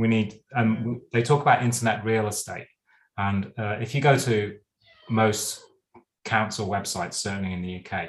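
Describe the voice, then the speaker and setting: A man with an unremarkable speaking voice talks at a medium pitch and moderate pace. His intonation is fairly even. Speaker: podcast host. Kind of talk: casual interview chat.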